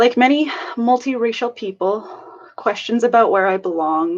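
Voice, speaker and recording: Female voice with vocal fry. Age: 20s. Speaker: student. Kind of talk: prepared personal testimony.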